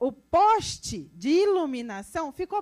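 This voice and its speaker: With a rural Brazilian accent, a woman talks in an animated tone and lively intonation. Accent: Brazilian countryside (interior). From interior of Brazil. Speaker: road safety specialist. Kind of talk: technical talk to audience.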